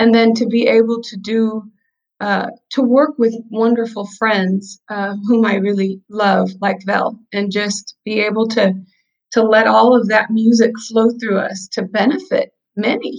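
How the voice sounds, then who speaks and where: A woman has a plain, everyday voice with a fairly high pitch. She talks at a fairly slow pace. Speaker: pianist, singer and business coach. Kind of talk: casual interview.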